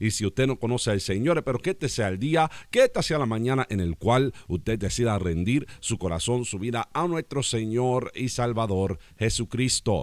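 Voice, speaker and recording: A man speaks at a moderate pace with lively intonation and hardly any pauses. The sound is dry with no echo, over a quiet background. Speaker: pastor. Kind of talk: prayer and radio announcements. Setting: radio program. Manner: formal. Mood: warm, smiling. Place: studio. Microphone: studio mic.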